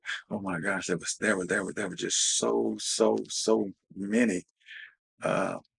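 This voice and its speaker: A man speaks with an Alabama accent. His pace is fairly slow. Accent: Southern US (Alabama). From US South. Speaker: interviewee, civil rights era witness. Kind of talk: interview storytelling.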